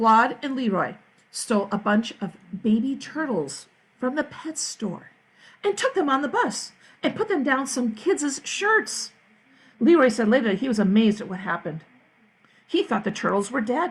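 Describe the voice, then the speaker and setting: A woman talks at a moderate pace in a high voice. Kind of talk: read-aloud children's story. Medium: read story. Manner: lively, expressive.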